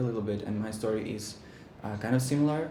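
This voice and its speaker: A man talks fairly quickly, with background noise clearly present and room echo audible. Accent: Ukrainian. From Ukraine. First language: Ukrainian. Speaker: business partner, video producer. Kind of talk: interview. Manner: halting.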